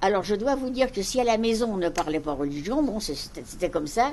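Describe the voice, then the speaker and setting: Very fast and with very wide pitch swings, a woman speaks at a medium pitch. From Paris, France. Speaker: Holocaust survivor. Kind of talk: talk to school pupils. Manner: measured, explanatory.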